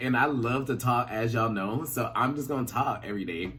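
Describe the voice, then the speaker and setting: A man's animated, medium-pitched voice at a fairly quick pace, with ordinary pitch variation, audible room echo and noticeable background noise. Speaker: YouTuber, pop culture commentator. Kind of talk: casual vlog chat. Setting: his bedroom.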